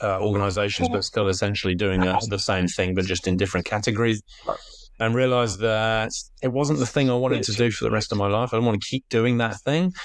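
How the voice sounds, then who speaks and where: A man speaks very fast in a fairly low voice. His pitch varies in an ordinary way and his loudness stays very even. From UK. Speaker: health coach. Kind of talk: podcast interview. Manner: hesitant, many fillers.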